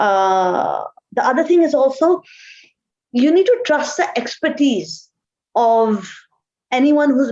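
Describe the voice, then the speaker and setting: A woman with a Pakistani accent, very slow pace and lively intonation. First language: Urdu. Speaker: marketing executive. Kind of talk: interview.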